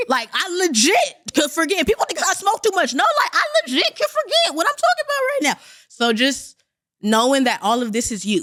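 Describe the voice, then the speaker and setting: This woman's voice is loud and extremely high-pitched, with an animated tone. Her pitch swings very widely. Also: fairly quick pace. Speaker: comedian. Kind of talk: casual chat. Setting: studio.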